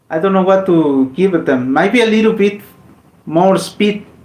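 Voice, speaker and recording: Speaking with a Mexican accent, a man uses a high pitch and lively intonation. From Mexico. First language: Spanish. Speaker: gaming streamer. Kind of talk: casual live stream chat. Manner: halting, with repetitions.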